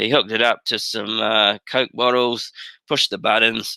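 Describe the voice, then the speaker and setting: With a New Zealand accent, a man at medium pitch speaks at a fairly quick pace in a bright, sharp tone, the sound dry and close with no echo. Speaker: teacher. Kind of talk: webinar presentation. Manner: halting.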